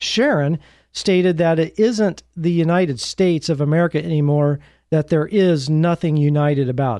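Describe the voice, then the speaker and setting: A man's dark, mellow voice, fairly high in pitch, at a moderate pace with ordinary pitch variation. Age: 50s. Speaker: podcast host. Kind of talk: solo commentary on news. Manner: conversational with frequent fillers.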